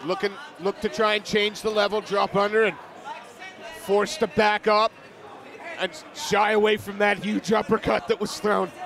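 Over noticeable background noise, a man with a high pitch talks at a moderate pace with fairly even intonation and long, frequent pauses. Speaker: MMA commentator. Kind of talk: live commentary. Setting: live event cageside.

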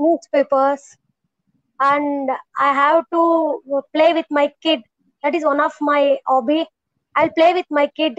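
A woman with an Indian accent speaks at a very slow pace in a high pitch for a woman, her intonation monotone and flat, her loudness very even, with long, frequent pauses, a dry sound with no echo and a quiet background. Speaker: homemaker, English learner. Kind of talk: casual chat; casual conversation practice. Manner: halting. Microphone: earbuds.

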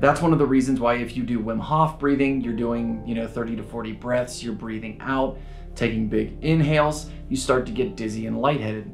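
A man at a moderate pace with ordinary pitch variation, faint music in the background. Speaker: breathwork instructor. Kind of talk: casual explanatory vlog. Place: home room.

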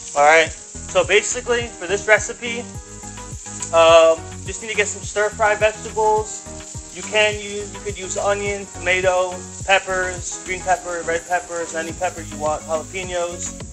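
Over clear background music, a man talks at a moderate pace with big swings in loudness. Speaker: home cook host. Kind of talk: cooking tutorial. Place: kitchen. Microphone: phone near.

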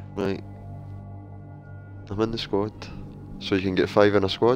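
Music plays in the background while a man with a Scottish accent speaks at a moderate pace, fairly low in pitch, with ordinary pitch variation. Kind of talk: casual gaming stream chat.

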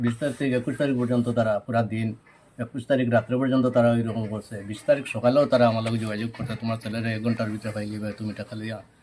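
This man's voice rests at a medium pitch. He delivers his words in a flat monotone. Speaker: father of detained youth. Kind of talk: press conference statement.

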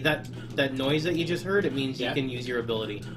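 Music can be heard behind the voice. A man talks, his pitch moving in an ordinary way. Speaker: gamer guiding a co-player. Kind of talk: casual let's play commentary.

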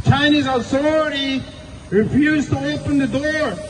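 An angry tone comes through fairly even intonation over noticeable background noise. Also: man. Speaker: protest speaker. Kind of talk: protest speech. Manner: angry, emphatic, declamatory; grieving, indignant. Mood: angry, solemn. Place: street.

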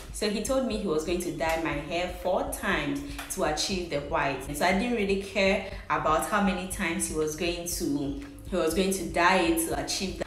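A woman's fairly low voice with ordinary pitch variation at a moderate pace, with audible room echo and light background noise. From Ghana. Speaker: vlogger. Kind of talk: casual talk to camera. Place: home room. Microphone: phone near.

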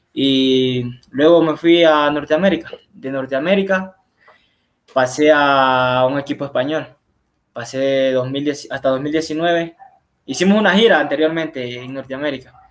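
The speech moves at a fairly slow pace with ordinary pitch variation against a quiet background. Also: man, fairly high pitch for a man. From Huaquillas, Ecuador; Ecuador. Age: young. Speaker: footballer; guest. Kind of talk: interview. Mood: calm, pleased.

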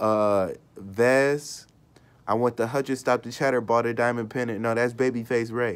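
Moderate-paced speech with an American accent. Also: man. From Michigan, US. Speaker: YouTuber live streamer; vlogger. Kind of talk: casual live-stream commentary; casual vlog commentary. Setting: live stream. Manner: casual, halting with fillers. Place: home room. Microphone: phone near.

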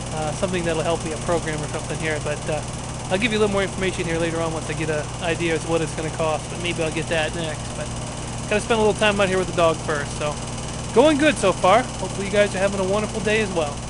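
A man at a very fast pace with ordinary pitch variation, over loud background noise. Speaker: vlogger. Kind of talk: casual vlog chat. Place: garden. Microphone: phone near.

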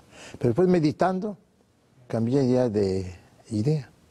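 Lively intonation runs through a man's dark, mellow tone. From Mexico. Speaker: naturopathic doctor, sanatorium founder; guest. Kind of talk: TV interview. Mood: warm, relaxed, reflective. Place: studio. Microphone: lapel.

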